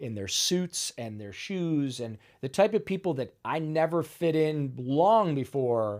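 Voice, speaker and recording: On a very clean recording with a silent background, a man with an American accent talks fairly slowly with hardly any pauses, very wide pitch swings and big swings in loudness. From US Midwest, Ohio. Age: 50s. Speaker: wellness cafe founder, recovered addict. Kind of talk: personal testimony in a casual interview. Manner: casual, filler-heavy.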